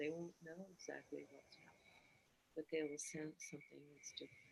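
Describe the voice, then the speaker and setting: A woman who is soft-spoken. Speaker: oracle priestess. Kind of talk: channeled spiritual message. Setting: live video stream.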